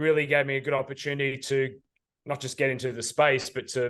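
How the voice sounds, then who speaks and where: Fairly quick, monotone speech from a man with a fairly high pitch and an Australian accent. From Australia, Sydney. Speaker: ad tech sales executive. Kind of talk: interview. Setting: studio.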